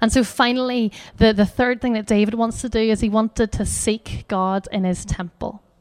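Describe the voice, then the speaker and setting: In a Northern Irish accent, a woman with a fairly high pitch speaks at a moderate pace in a monotone, flat intonation, with a dry, close sound and no echo. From Northern Ireland. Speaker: charity educator. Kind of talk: talk at a church gathering with prayer.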